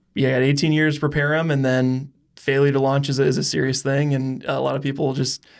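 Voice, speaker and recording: A man talks at a fairly quick pace with a fairly high pitch, very even loudness and monotone, flat intonation, on a very clean recording with a silent background. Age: 30s. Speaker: podcast host. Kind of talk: podcast interview.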